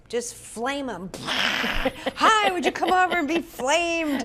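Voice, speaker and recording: A woman's high voice with lively intonation at a very slow pace, amid noticeable background noise. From US South, Atlanta. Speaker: spiritual medium and minister. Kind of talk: interview chat.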